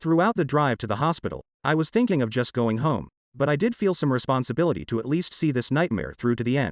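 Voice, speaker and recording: A growling man's voice at medium pitch, with lively intonation, a very fast pace and a quiet background. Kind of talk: comic story reading. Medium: read story. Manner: wry, conversational.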